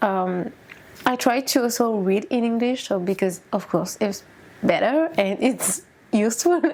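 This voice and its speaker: A woman with a French accent, fairly high pitch, lively intonation and a fairly slow pace, amid noticeable background noise. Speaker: YouTuber. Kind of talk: casual book review vlog. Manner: halting, with fillers.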